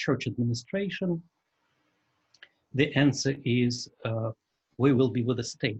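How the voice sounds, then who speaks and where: The man's somewhat breathy voice rests at a medium pitch and varies in an ordinary way. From Russia. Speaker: church journalist and editor. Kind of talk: lecture. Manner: halting, many fillers.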